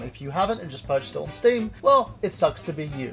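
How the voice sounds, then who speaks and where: A man with a British accent, very wide pitch swings and a fairly quick pace, with music in the background. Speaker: video game reviewer. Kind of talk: video game review to camera.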